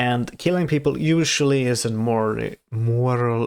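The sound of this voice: With a non-native accent, a man speaks at a fairly slow pace in a medium-pitched voice that is clear, smooth and slightly mellow, with vocal fry and ordinary pitch variation, in a very clean recording with a silent background.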